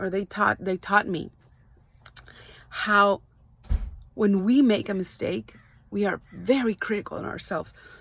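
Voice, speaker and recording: Pausing long and often, a woman with a Spanish accent speaks at a fairly slow pace with medium pitch and fairly even intonation. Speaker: life coach. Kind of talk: motivational talk. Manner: hesitant, many fillers.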